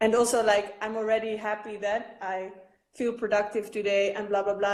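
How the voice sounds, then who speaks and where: Flat and monotone, a woman's medium-pitched voice moves at a moderate pace. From Netherlands. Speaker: artist. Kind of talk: interview.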